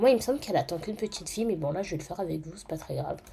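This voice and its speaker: Lively intonation runs through this woman's speech. She has a medium pitch. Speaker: gaming YouTuber. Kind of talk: gameplay commentary. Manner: casual with many hesitations.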